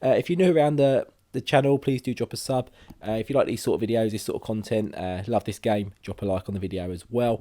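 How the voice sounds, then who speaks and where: Speaking at a fairly quick pace with a British accent, a man uses a medium pitch, a dark, mellow tone, and ordinary pitch variation. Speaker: gaming youtuber. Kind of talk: let's play commentary. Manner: casual with many fillers.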